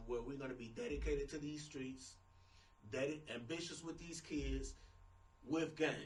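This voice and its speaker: Audible room echo mixes with noticeable background noise throughout the recording. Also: man. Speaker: talk show host. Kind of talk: casual interview chat. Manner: loud.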